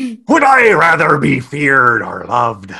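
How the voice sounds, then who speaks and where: The voice is a put-on character voice delivered at a fairly slow pace. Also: man, fairly high pitch for a man. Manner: sarcastic.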